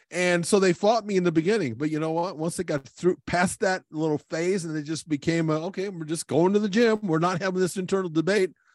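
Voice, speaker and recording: Against a quiet background, a man talks at a fairly quick pace with hardly any pauses, a high pitch, and ordinary pitch variation, in a dry, close sound with no echo. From Portuguese family background. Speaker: podcast host and gym owner. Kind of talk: interview.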